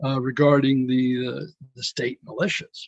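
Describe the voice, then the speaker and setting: A man's somewhat breathy voice with an American accent, at a fairly slow pace, in a dry, close sound with no echo. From Texas, San Antonio. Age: 60s. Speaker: political candidate. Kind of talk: interview.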